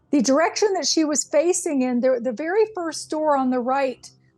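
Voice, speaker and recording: Over music in the background, a woman with a high pitch speaks at a moderate pace. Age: 60s. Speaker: hospice nurse and author. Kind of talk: interview storytelling.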